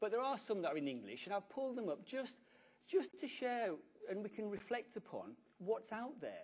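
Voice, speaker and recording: A man with a British accent, high-pitched, with very wide pitch swings. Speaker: conference speaker. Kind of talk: conference talk. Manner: fast.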